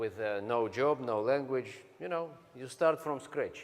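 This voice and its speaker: Speaking very slowly with a Russian accent, a man uses ordinary pitch variation. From Siberia, Russia. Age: 40s. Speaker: business speaker. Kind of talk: motivational speech.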